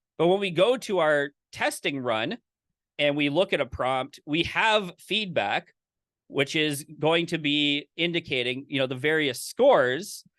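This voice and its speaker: A plain, everyday voice: a man with fairly high pitch and lively intonation, talking at a fairly slow pace. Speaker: course instructor. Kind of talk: live online lecture with demo. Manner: casual, filler-heavy.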